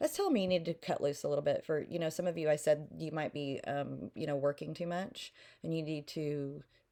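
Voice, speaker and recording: A woman's very deep, low voice with a slight Oklahoma accent, dark and mellow in tone, at a moderate pace with fairly even intonation. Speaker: tarot reader. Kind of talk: tarot reading. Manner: casual, many fillers; mouth clicking.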